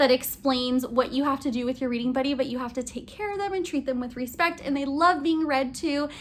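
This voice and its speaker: A woman talks at a fairly quick pace in a high voice, with ordinary pitch variation. Noticeable background noise runs behind her. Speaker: elementary school teacher. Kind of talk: casual vlog tutorial. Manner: fast; animated.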